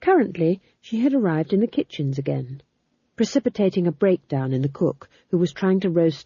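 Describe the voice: Someone reads plainly aloud. Nothing much is heard behind the voice.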